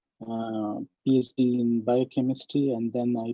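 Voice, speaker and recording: Music plays in the background as a man speaks. His medium-pitched voice has a monotone, flat intonation. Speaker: scientist. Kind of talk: webinar lecture. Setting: online webinar. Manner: hesitant, many fillers.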